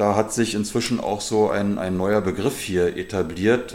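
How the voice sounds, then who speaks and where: In a normal speaking voice, a man talks at a fairly slow pace with fairly even intonation. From Germany, Berlin area. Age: 50s. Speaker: football youth coach and club vice-chair. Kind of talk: interview.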